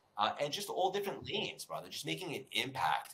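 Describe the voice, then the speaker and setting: Delivered in a New York accent, the voice has a bright, sharp tone and an animated tone. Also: man. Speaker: personal development coach and speaker. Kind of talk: podcast interview.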